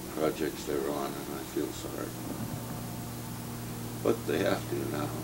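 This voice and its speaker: Loud background noise behind a man's fairly slow speech. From San Francisco, California. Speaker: wildlife biologist. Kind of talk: interview answer. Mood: relaxed, reflective, wry. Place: home room.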